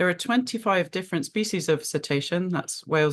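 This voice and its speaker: There is a quiet background as a woman speaks in a British accent. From United Kingdom. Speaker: marine mammal scientist. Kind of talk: webinar presentation. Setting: video call. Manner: hesitant fillers (um, uh).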